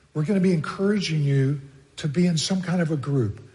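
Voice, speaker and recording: A man with an American accent, fairly high in pitch, at a moderate pace with lively intonation and audible room echo. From Texas. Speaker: pastor. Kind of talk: sermon.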